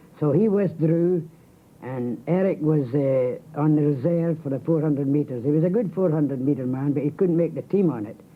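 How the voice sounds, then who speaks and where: A man with a Scottish accent, fairly high pitch, ordinary pitch variation and a fairly quick pace. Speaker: marathon figure and physiotherapist. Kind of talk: radio interview.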